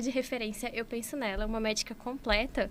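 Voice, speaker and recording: A woman speaks at a fairly quick pace with a Minas Gerais accent. Her pitch varies in an ordinary way. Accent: Minas Gerais (mineiro). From Minas Gerais, Brazil (Conselheiro Lafaiete, interior). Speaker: doctor and entrepreneur. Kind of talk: podcast interview.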